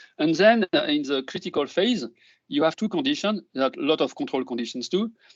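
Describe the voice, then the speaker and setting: Speaking at a fairly quick pace with a French accent, a man with a high pitch makes very wide pitch swings. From France. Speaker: neuroscience professor. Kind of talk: lecture. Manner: halting.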